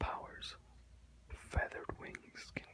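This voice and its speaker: Noticeable background noise sits behind a whisper that goes at a fairly slow pace. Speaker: ASMR video creator reading aloud. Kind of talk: ASMR reading aloud from an encyclopedia with casual asides. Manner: whispered, soft-spoken.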